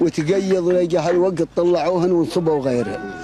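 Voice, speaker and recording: With music in the background, a man with a high pitch speaks at a fairly slow pace and ordinary pitch variation. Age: 70s. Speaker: fisherman. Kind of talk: interview.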